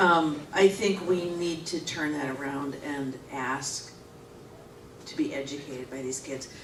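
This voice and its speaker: A woman with a very deep, low pitch speaks at a fairly slow pace, her pitch varying in an ordinary way and her loudness swinging widely. Audible room echo and noticeable background noise fill the recording. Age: 60s. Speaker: forum participant, parent. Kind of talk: group discussion. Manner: halting.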